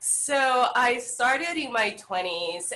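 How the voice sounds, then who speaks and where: Against noticeable background noise, a woman with a Salvadoran accent speaks with ordinary pitch variation. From El Salvador. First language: Spanish. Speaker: yoga instructor. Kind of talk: interview.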